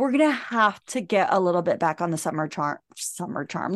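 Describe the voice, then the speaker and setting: A fairly quick pace with very wide pitch swings. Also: woman. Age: 40s. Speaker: podcast co-host. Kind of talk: casual chat.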